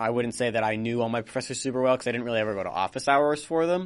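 A man's medium-pitched voice with ordinary pitch variation, a plain, everyday voice. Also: quiet background. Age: 20s. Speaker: college podcast host and editor. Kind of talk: casual chat. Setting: studio.

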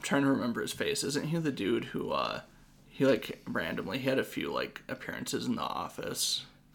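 Fairly quick speech from a man, noticeable background noise behind it. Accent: American. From Washington state. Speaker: podcast host and comedian. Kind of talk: casual chat.

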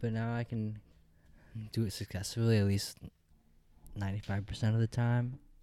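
At a moderate pace, a man with an American accent speaks at medium pitch in a flat monotone, leaving long, frequent pauses. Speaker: podcast co-host. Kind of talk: casual chat. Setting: home studio.

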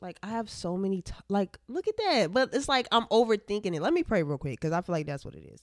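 The speaker talks very fast with hardly any pauses, in an animated tone with very wide pitch swings and big swings in loudness. The recording is very clean with a silent background and a dry, close sound with no echo. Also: woman, medium pitch for a woman. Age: young. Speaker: podcast host and college student. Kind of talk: casual chat. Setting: at home, filming on camera.

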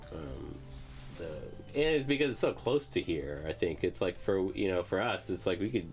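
The pitch swings very widely. Music plays in the background. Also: man, very deep, low pitch for a man, moderate pace. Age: 30s. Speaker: podcast host and bass player. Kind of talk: casual chat.

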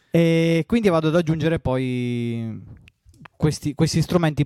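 With a southern Italian accent, a man speaks with ordinary pitch variation. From southern Italy. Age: 30s. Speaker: electronic music producer. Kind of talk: interview.

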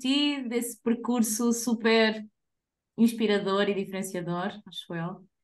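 A woman with a fairly high voice talks at a fairly slow pace, her pitch varying in an ordinary way. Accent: European Portuguese. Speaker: podcast co-host. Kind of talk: casual chat.

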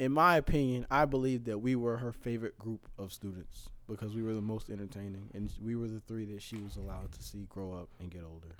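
A man of medium pitch talks at a fairly quick pace with hardly any pauses, big swings in loudness and ordinary pitch variation. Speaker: podcast co-host. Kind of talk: casual banter, comedic chat.

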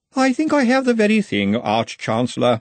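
A man uses a put-on character voice, pitched high and delivered at a moderate pace. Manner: cheerful.

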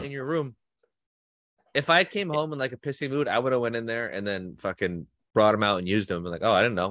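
A man with very wide pitch swings at a very fast pace. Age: 30s. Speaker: podcast co-host. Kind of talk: casual chat.

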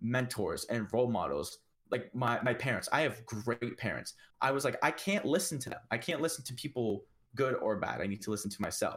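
A man in a Canadian accent talks fairly quickly at a medium pitch, in an unremarkable speaking voice. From Canada (Ontario). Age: 20s. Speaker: entrepreneur. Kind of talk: casual chat.

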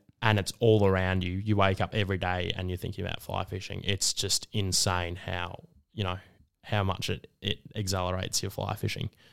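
Recorded very cleanly with a silent background, a man with an Australian accent speaks at a moderate pace in a very deep, low pitch with monotone, flat intonation. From Melbourne, Australia (Northcote). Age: 20s. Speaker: fly shop staff member and university student. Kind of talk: casual interview.

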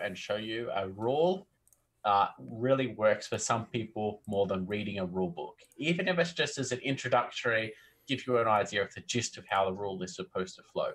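In an Australian accent, a man sounds enthusiastic and energetic, with lively intonation. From country Australia. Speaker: tabletop game designer, interview guest. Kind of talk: casual conversational. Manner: enthusiastic, energetic; chatty, natural conversationalist.

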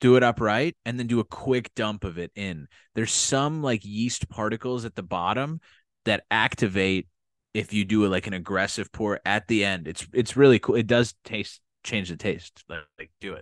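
In a quiet setting with a dry, close sound and no echo, a man with an American accent uses a plain, everyday voice at a fairly low pitch, talking at a moderate pace with ordinary pitch variation and big swings in loudness. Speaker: podcast co-host. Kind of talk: casual chat.

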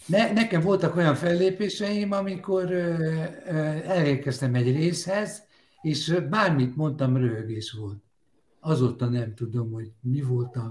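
With an ordinary speaking voice, a man talks at a fairly slow pace and fairly high pitch with lively intonation. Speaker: humorist and singer. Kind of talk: casual panel chat.

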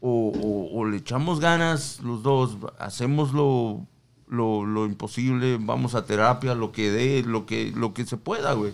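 At a medium pitch, a man speaks at a very slow pace. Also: ordinary pitch variation, very clean recording, silent background. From Mexico. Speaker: podcast co-host. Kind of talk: casual chat. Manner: animated, slangy.

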